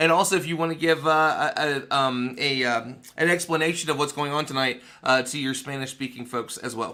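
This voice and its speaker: A man with an American accent speaks fairly quickly at a fairly high pitch in a bright, sharp tone. His intonation is fairly even, and the recording is very clean with a silent background. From West Virginia. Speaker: panel host. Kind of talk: livestream panel chat. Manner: fast.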